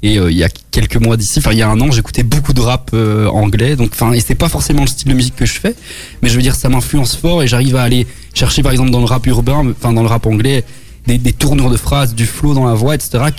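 There is noticeable background noise as a man talks at a very fast pace. His loudness is very even, his pitch medium with ordinary variation. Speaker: pop rock band member. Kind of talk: radio interview. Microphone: echo/delay on voice.

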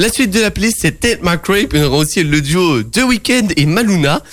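Music plays behind a man with a high pitch. He speaks at a moderate pace with lively intonation. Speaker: community radio sports show host. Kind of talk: casual radio sports chat. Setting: radio studio.

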